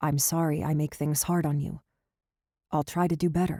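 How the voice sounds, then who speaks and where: Using a put-on character voice, a woman speaks husky and soft-spoken at a very deep, low pitch, with monotone, flat intonation, very even loudness and a moderate pace. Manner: soft, earnest.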